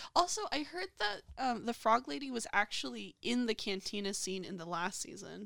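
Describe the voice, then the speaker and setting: A woman with an American accent speaks at a medium pitch and moderate pace, with hardly any pauses. Her bright, sharp tone carries very wide pitch swings and big swings in loudness. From USA. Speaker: podcast co-host. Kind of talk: casual chat.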